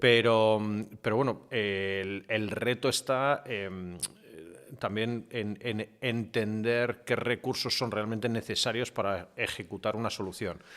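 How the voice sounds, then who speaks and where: A man speaks at a fairly slow pace, his fairly low voice following a fairly even intonation. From half English, born in UK, mother English. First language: English (speaking Spanish). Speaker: media executive and digital transformation consultant. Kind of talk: podcast interview. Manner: hesitant with many fillers and repetitions.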